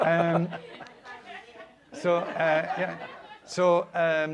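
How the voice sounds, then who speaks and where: Noticeable background noise sits behind this speaker. He is a man with a Scottish accent and a fairly high pitch. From Scotland, East Lothian coast. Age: 70s. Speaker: radio broadcaster. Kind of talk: anecdotal chat on stage. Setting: stage with live audience.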